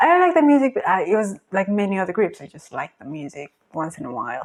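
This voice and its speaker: A woman with a Spanish accent speaks very fast, her loudness swinging widely and her pitch leaping over a very wide range. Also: medium pitch for a woman. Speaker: K-pop reaction youtuber. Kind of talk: casual reaction commentary. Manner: hesitant, many fillers.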